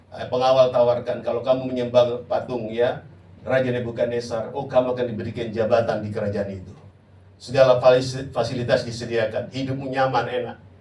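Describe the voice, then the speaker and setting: A man talks fairly quickly in a dark, mellow tone, with audible room echo. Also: medium pitch for a man, big swings in loudness. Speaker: pastor. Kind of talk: sermon. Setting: church. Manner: loud; animated.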